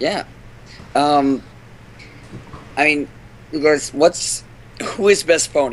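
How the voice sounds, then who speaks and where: Amid noticeable background noise, a man speaks at a very slow pace with long, frequent pauses and ordinary pitch variation. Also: fairly high pitch for a man. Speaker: podcast panelist. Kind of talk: casual chat. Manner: animated.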